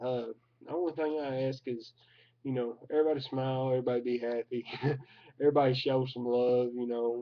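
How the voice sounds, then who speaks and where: A man with a strong Southern US accent speaks at a medium pitch and a fairly quick pace. His intonation is monotone and flat, broken by long, frequent pauses. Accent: thick Southern US. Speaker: vlogger. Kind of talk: casual vlog monologue. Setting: at home recording at his computer. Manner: halting, filler-heavy.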